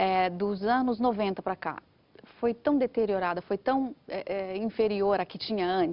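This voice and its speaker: A woman with a Brazilian accent and ordinary pitch variation. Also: medium pitch for a woman. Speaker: writer. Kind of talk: TV interview. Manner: animated.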